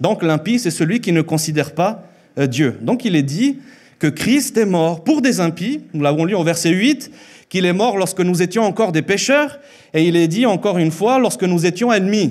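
Over a quiet background, a man speaks at a moderate pace in a high pitch, with lively intonation and very even loudness. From Mexico, Chihuahua. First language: Spanish (speaking French). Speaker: preacher. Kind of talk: sermon. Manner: halting. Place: church. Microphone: handheld.

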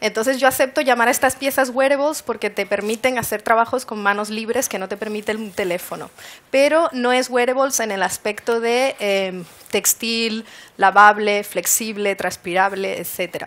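A woman speaks in a fairly high register at a moderate pace, her pitch varying in an ordinary way. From Canary Islands, Spain. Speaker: wearable technology designer; conference speaker. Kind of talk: presentation talk. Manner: hesitant with fillers. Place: hall.

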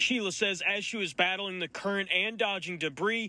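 Dry with no echo, a man's high-pitched voice moves at a moderate pace with ordinary pitch variation. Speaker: TV news reporter. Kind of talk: TV news field report.

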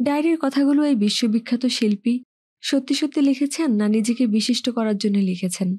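A woman's high voice carries a dark, mellow tone, with very even loudness and ordinary pitch variation. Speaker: audiobook narrator. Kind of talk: novel reading.

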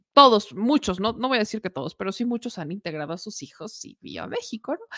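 A woman with a Mexican accent talks at a fairly quick pace in an animated, bright, sharp tone with vocal fry, very wide pitch swings and big swings in loudness. The background is quiet and the sound is dry with no echo. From Mexico. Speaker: political news commentator; political commentator. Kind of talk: news commentary. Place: home room. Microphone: studio mic.

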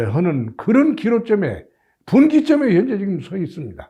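A man at a moderate pace, pitch swinging very widely, over a quiet background. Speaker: association chairman, political commentator. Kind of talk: video commentary. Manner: halting, many filler sounds; formal.

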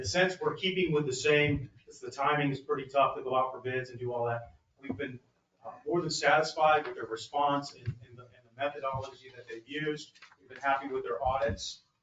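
A man talks at a fairly quick pace with fairly even intonation, over light background noise and audible room echo. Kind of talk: staff report to council. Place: hall.

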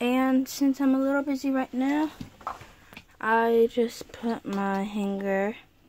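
Noticeable background noise sits behind a woman speaking at a high pitch. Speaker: doll play storyteller. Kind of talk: doll roleplay narration. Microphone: phone near.

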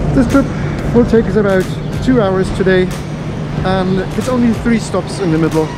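With music in the background, a man delivers his words fairly slowly. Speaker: travel vlogger. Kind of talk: casual vlog chat. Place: station. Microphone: phone near.

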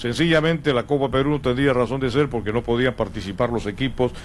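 A man with a medium pitch speaks fairly quickly in a plain, everyday voice. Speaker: sports radio host. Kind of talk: sports talk radio discussion.

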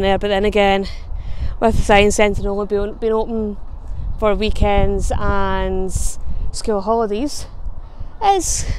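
A woman with a Scottish accent talks at a moderate pace in a monotone, flat intonation. The sound is dry with no echo, over light background noise. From Scotland. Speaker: travel vlogger. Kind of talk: casual talk to camera. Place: street. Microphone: lapel.

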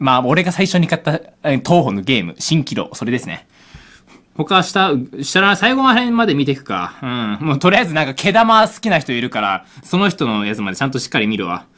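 At a fairly quick pace, a man with a fairly high, bright, sharp voice and vocal fry makes very wide pitch swings against a quiet background. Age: 20s. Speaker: gaming YouTuber. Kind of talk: live reaction commentary. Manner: animated. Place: home room. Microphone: phone near.

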